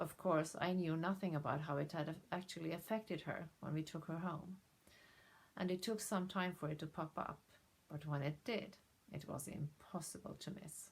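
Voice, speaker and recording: A woman with a non-native accent speaks at a moderate pace in a somewhat breathy voice, her pitch fairly low and her intonation fairly even. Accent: non-native English accent, self-noted. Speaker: dog behaviour trainer. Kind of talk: direct-to-camera introduction video. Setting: to camera.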